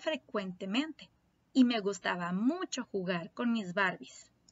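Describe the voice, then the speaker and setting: Somewhat breathy and fairly high-pitched, a woman speaks at a fairly slow pace with lively intonation. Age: 30s. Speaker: primary school teacher. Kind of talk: lesson for young children. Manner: slow and clear.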